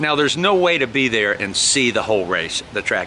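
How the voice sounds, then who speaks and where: Talking fairly quickly with an American accent, a man is heard against noticeable background noise. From Minnesota, US Midwest. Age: 60s. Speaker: vlogger. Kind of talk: casual vlog monologue. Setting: at home. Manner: animated.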